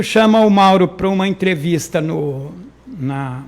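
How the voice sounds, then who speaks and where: A man is speaking. His intonation is lively. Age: 60s. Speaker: local politician, former city councillor. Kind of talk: interview. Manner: halting, repeats words.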